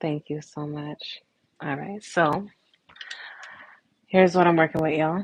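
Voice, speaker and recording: A soft-spoken woman talks in a very deep, low pitch with a relaxed tone. The sound is dry and close, with no echo. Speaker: nail art livestreamer. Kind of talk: casual livestream chat. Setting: home livestream.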